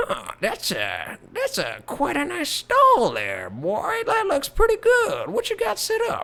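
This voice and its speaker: This is a put-on character voice at a fairly slow pace. It runs on with hardly any pauses. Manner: friendly, folksy.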